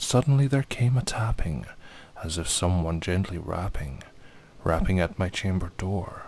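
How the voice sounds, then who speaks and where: A man talks in a Scottish accent at a moderate pace. His intonation is lively, and his pitch is fairly low. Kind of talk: poetry reading.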